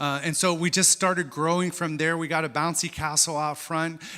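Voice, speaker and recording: A man speaks with an American accent and a bright, sharp tone. The recording is very clean, with a silent background. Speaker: missionary. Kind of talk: church presentation with slides. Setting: church service. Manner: hesitant, many fillers.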